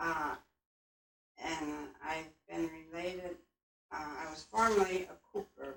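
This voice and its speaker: A woman with a fairly low pitch speaks with ordinary pitch variation, big swings in loudness and long, frequent pauses. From US Midwest, Michigan small town. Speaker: local elder interviewee. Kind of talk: casual group reminiscence.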